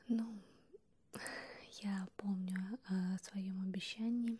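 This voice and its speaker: Soft-spoken and somewhat breathy, a woman whispers over light background noise. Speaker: ASMR creator. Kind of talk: ASMR close whispering video. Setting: close to the microphone, binaural. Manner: whispered, soft-spoken. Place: home room. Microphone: handheld.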